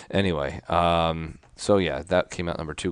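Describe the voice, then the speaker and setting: A soft-spoken man talks at a moderate pace, the sound dry and close with no echo against a quiet background. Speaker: podcast co-host. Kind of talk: casual chat. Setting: remote recording from home. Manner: quiet, soft.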